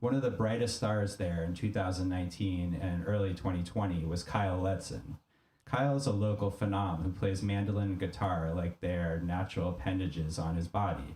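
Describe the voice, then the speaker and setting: Very even in loudness, a man's very deep, low voice moves at a fairly quick pace with ordinary pitch variation. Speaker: podcast host and music director. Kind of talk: reading aloud.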